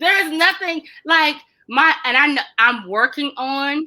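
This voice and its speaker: A woman speaks in an animated tone. Her voice is bright and sharp. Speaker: mental health talk host. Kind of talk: casual chat. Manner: loud.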